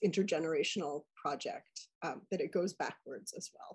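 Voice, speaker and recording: Against a quiet background, a woman speaks in a fairly low, somewhat breathy voice. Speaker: anthropologist and professor; professor. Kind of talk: academic commentary. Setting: video call. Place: home room. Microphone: video call.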